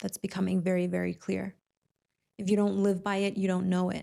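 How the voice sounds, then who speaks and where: The delivery moves at a fairly quick pace with monotone, flat intonation, long and frequent pauses, and very even loudness. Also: woman. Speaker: spiritual coach. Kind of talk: casual reflective monologue to camera. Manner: conversational, with many fillers.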